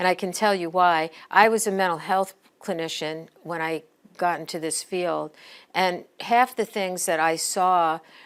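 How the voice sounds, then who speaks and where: An unremarkable speaking voice moves at a fairly slow pace with fairly even intonation on a very clean recording with a silent background. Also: woman, fairly low pitch for a woman. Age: 60s. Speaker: professor and program director. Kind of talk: recorded presentation. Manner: conversational.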